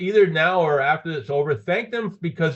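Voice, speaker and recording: With vocal fry and very wide pitch swings, a man speaks at a fairly quick pace in a fairly high pitch. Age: 60s. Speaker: business presenter. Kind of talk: sales pitch. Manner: halting.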